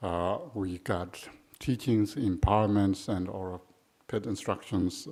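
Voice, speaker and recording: A man speaks very slowly in a fairly low voice with a Tibetan accent. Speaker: Buddhist teacher. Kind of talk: dharma talk. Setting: shrine room retreat. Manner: halting, many fillers.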